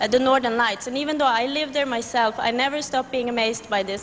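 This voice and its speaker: Noticeable background noise sits under a woman's high-pitched voice. She speaks fairly quickly with fairly even intonation. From Sweden. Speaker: beauty pageant contestant. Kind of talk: interview.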